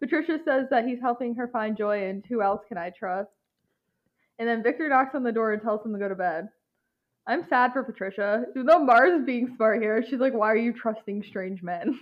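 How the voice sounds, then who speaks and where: An unremarkable speaking voice from a woman with an American accent, fairly high pitch, ordinary pitch variation and a fairly quick pace. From United States. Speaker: podcast co-host. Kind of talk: casual chat recapping a TV episode.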